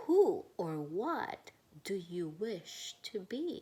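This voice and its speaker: This is a woman in a put-on character voice. Her pace is very slow. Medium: read story. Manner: rhyming, ceremonial.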